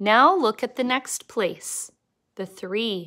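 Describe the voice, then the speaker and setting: The recording is very clean, with a silent background. A woman speaks very slowly, with ordinary pitch variation. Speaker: elementary school teacher. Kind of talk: recorded lesson for children. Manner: slow and clear, talks to children.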